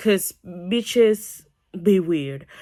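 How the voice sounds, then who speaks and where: The speaker has a non-native accent. The tone is animated. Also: woman, very clean recording, silent background. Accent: foreign. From non-English-speaking country. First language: not English. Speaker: YouTuber. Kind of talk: storytime vlog.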